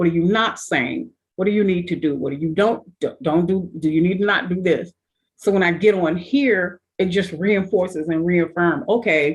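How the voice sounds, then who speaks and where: With a normal speaking voice pitched fairly low, the woman keeps a moderate pace while her pitch varies in an ordinary way. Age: 60s. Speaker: panelist. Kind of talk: group discussion.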